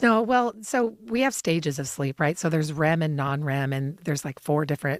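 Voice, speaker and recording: Calm in tone, a woman with a very deep, low pitch speaks at a fairly quick pace with hardly any pauses and very wide pitch swings on a very clean recording with a silent background. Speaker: sleep clinic founder and respiratory therapist. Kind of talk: TV interview.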